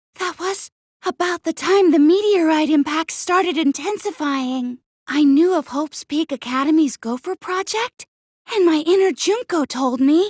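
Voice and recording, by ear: In a cartoonish character voice, a woman talks at an extremely high pitch and a moderate pace, the sound dry and close with no echo.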